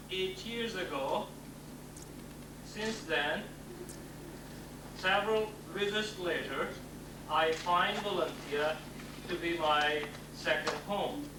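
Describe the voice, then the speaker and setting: With a non-native accent and a high pitch, a man speaks at a very slow pace with long, frequent pauses, amid audible room echo and noticeable background noise. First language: not English. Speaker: professor. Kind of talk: acceptance speech. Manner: formal.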